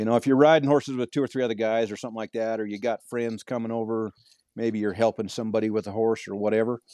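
Speaking at a very fast pace, a man has a medium pitch and a dark, mellow tone in a dry, close sound with no echo. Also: fairly even intonation. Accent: rural western US. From Montana. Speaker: cowboy and horsemanship clinician. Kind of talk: casual interview chat.

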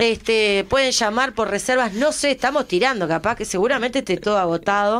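Speaking at a fairly quick pace with hardly any pauses, a woman keeps a very even loudness, a fairly high pitch and ordinary pitch variation. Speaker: radio host. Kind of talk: casual radio interview. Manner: animated.

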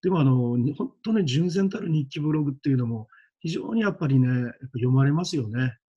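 This man has a fairly high, somewhat breathy voice. He talks at a fairly quick pace with lively intonation. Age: 50s. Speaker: schoolteacher and coach. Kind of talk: casual interview chat.

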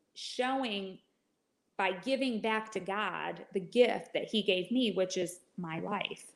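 At a very slow pace, a woman talks at medium pitch with ordinary pitch variation. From Michigan. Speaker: licensed counselor. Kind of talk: interview testimony.

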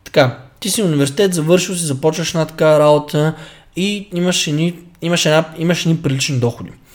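A man with an ordinary speaking voice talks fairly quickly at a fairly high pitch, his intonation fairly even. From Bulgaria, Stara Zagora. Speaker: fitness coach podcast co-host. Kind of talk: casual chat.

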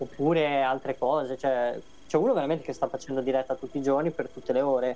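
A man talks at a very fast pace in a fairly high voice. His tone is dark and mellow, and his intonation fairly even. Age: 30s. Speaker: gamer and social media guest. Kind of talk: casual chat.

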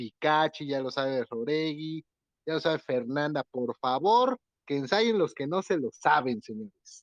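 This man has an ordinary speaking voice, pitched fairly high, with lively intonation at a fairly slow pace. The sound is dry and close with no echo, over a quiet background. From Mexico, Puebla (Atlixco). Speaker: podcast host, theatre director. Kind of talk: casual panel discussion.

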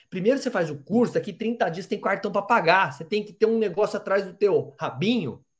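A man talks in a high voice with an animated tone and lively intonation. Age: 40s. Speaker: podcast host, sales trainer. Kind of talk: interview.

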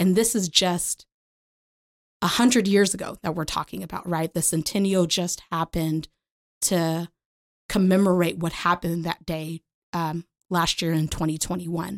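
In an American accent, the voice moves at a moderate pace with fairly even intonation and long, frequent pauses, in a dry, close sound with no echo on a very clean recording with a silent background. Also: woman, fairly low pitch for a woman. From Oklahoma, Lawton. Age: 30s. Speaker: public policy advocate. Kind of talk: educational interview. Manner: talkative.

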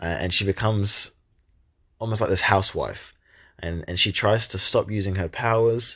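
A man talks at a moderate pace against a quiet background. His pitch sits fairly low, with ordinary variation. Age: 20s. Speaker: podcast host, young marketer. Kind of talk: solo monologue podcast. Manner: hesitant, many fillers and repeated words.

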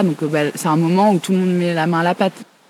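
A woman's fairly low pitch in monotone, flat intonation at a fairly quick pace, amid noticeable background noise. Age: 30s. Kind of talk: interview.

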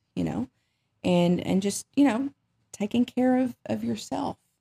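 This woman's voice is somewhat breathy with a dark, mellow tone. The sound is dry and close, with no echo. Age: 40s. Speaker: therapist. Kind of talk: interview.

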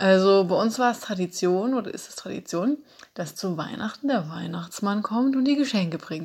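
A woman with an ordinary speaking voice talks at a moderate pace and medium pitch. Her intonation is lively and her loudness swings widely. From Saxony, Dresden. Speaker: flatmate of host. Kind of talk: personal account.

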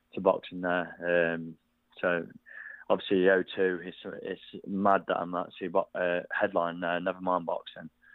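A man with a very deep, low pitch speaks at a moderate pace. His intonation is monotone and flat. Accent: East Midlands. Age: 20s. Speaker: professional boxer. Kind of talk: interview.

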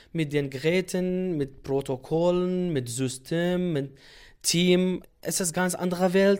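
A very slow, high-pitched man's voice in a Kurdish accent, with ordinary pitch variation, on a very clean recording with a silent background. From Iraqi Kurdistan, Sulaymaniyah. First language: Kurdish (speaking German). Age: 30s. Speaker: doctor. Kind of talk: interview.

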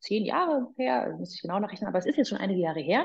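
A woman's somewhat breathy voice at medium pitch, dark and mellow in tone. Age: 40s. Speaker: personal trainer and former radio presenter. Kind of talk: casual interview.

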